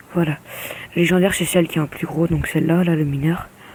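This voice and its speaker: Noticeable background noise is present. The talking goes at a fairly quick pace. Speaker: gaming youtuber. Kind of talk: gameplay commentary. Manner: casual, hesitant.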